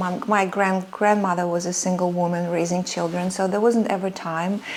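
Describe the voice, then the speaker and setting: A woman with a Russian accent, medium-pitched, at a moderate pace, over noticeable background noise. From Soviet Union (Russia). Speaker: sewing and vintage fashion creator. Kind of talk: personal storytelling vlog. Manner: hesitant, many fillers.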